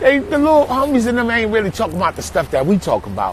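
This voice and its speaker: An animated man with an extremely high voice and lively intonation, over noticeable background noise. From New York, Brooklyn. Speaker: artist. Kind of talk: casual live stream chat. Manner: animated storytelling.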